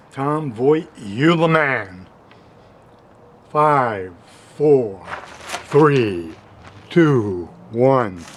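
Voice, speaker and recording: Speaking at a very slow pace with long, frequent pauses, a man uses lively intonation while audible room echo and noticeable background noise fill the recording. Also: medium pitch for a man. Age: 60s. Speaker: amateur true crime theorist. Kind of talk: casual video message. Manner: halting.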